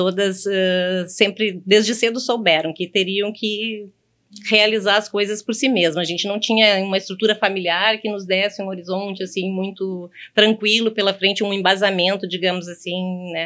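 This woman's voice has a medium pitch and a bright, sharp tone. Her intonation is monotone and flat at a moderate pace. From Brazil, interior of Rio Grande do Sul (Horizontina). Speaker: bank manager. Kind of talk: casual chat. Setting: studio.

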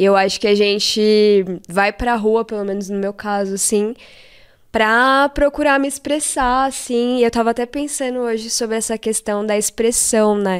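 At a moderate pace, a woman with a normal speaking voice talks at a fairly high pitch with fairly even intonation. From São Paulo metro area (ABC Paulista, Taboão da Serra). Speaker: illustrator and graffiti artist. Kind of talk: casual chat.

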